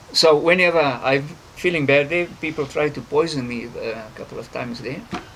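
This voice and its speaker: Noticeable background noise sits behind a man speaking at a fairly quick pace. His pitch is fairly high with ordinary variation, and his loudness swings a lot. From South Africa. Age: 60s. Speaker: conservationist. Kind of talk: interview. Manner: halting, many fillers.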